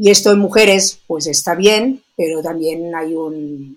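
A plain, everyday voice: a woman at a fairly slow pace, fairly low in pitch, with ordinary pitch variation. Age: 60s. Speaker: biologist and sports nutrition expert. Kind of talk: interview.

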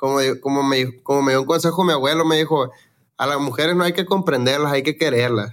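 Pitched fairly high, a man talks at a very fast pace with ordinary pitch variation. His loudness stays very even throughout. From Mexico, Sinaloa (Los Mochis). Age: young. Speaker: regional Mexican singer. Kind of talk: casual chat. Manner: halting.

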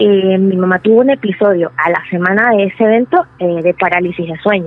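A woman talks at a medium pitch, and her pitch varies in an ordinary way. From Venezuela. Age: 30s. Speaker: storyteller sharing paranormal experience. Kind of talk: personal testimony.

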